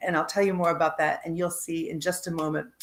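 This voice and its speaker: Using a plain, everyday voice, a woman talks with fairly even intonation at a fairly low pitch. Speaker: interview show host. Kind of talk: interview host talk.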